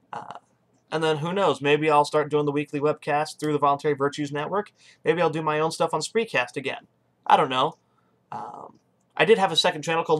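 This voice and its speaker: A man with an American accent speaks at a very fast pace. His pitch is fairly high. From Texas. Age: 20s. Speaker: political podcast host; political webcast host. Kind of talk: casual monologue. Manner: hesitant fillers. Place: home room. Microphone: webcam.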